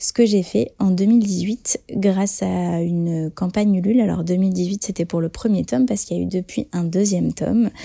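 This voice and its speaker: At a moderate pace and with hardly any pauses, a woman speaks at a medium pitch with ordinary pitch variation, her voice somewhat breathy with a dark, mellow tone. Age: 30s. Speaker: author-illustrator. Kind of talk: testimony. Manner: hesitant, many fillers.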